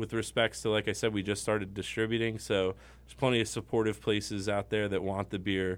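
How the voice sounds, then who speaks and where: With an American accent, a man speaks fairly quickly at a fairly low pitch, his intonation fairly even, in a normal speaking voice. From Connecticut. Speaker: brewery owner. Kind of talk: casual chat. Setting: studio.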